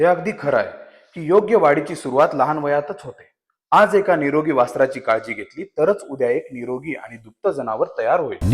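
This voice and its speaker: A man with a fairly high pitch uses lively intonation and big swings in loudness. It is an ordinary speaking voice. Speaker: voice actor. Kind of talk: brand commercial narration in Marathi for a cattle feed company. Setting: studio.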